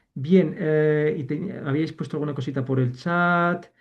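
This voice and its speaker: A man is speaking. His pitch is fairly high. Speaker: university lecturer. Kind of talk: online lecture. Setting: video call. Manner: fast.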